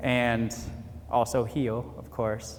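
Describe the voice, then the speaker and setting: Audible room echo surrounds a man speaking with an American accent at a medium pitch. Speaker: retired army veteran, motivational speaker. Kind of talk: motivational speech at graduation ceremony.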